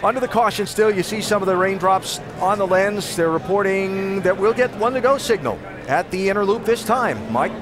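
A man's high, animated voice at a moderate pace with ordinary pitch variation, very even loudness and hardly any pauses, dry with no echo, against noticeable background noise. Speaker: race broadcast lead announcer. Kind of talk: live race commentary. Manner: animated, brisk play-by-play delivery.

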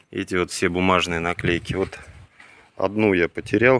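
Over light background noise, a man with a fairly low pitch talks with fairly even intonation in a dry sound with no echo. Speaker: vintage tractor enthusiast vlogger; owner showing tractor. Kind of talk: casual video walkthrough. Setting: outdoors, plane flying overhead at one point. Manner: unhurried, many filler words. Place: garden. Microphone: phone near.

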